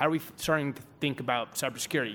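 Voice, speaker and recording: The pace is fairly quick. The voice carries an American accent. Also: man. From Newark, New Jersey. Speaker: venture capital investor. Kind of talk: panel discussion. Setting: conference stage with audience.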